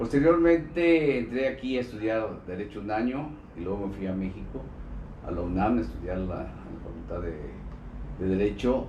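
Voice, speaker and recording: With a fairly low pitch and very wide pitch swings, a man talks at a moderate pace, leaving long, frequent pauses, amid audible room echo. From Mexico, Colima. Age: 60s. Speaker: former state governor and politician. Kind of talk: interview. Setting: live streamed interview, in person.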